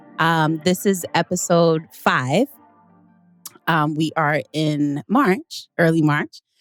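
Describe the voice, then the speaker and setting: A woman speaks with ordinary pitch variation and very even loudness, the sound dry and close with no echo, with music in the background. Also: fairly low pitch for a woman. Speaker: podcast host. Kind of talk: casual podcast conversation.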